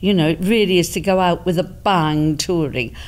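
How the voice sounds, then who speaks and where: A woman speaks with vocal fry. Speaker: stage actress. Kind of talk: interview answer. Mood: warm, reflective, a bit amused. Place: hall. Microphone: handheld.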